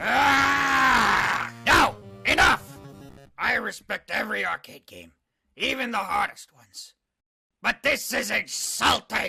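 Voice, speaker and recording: A man performs a cartoonish character voice. Faint music plays in the background. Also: fairly slow pace. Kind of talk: video game review. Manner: grumpy, cantankerous.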